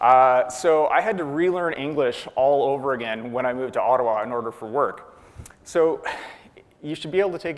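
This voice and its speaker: Amid noticeable background noise and audible room echo, a man with a fairly high pitch talks at a fairly quick pace with ordinary pitch variation. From Atlantic Canada (far east coast). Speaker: software developer, conference speaker. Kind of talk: conference talk.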